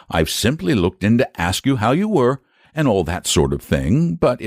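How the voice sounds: Here, someone reads in a natural voice.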